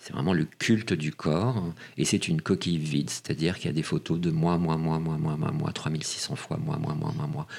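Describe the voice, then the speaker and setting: Fairly quick talking from a man with a very deep, low pitch. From Paris, France. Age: 40s. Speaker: casting director. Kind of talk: interview.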